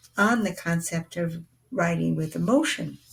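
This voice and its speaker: Somewhat breathy, the woman's voice sits at a fairly low pitch. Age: 70s. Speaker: retired programmer giving testimonial. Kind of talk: testimonial. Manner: halting.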